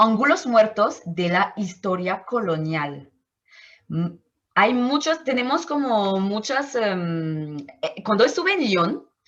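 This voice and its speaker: Speaking at a very slow pace with a French accent, a woman uses a fairly high pitch with very wide pitch swings. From Martinique. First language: French (speaking Spanish). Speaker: anthropologist. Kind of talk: interview. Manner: halting, with many fillers and self-corrections.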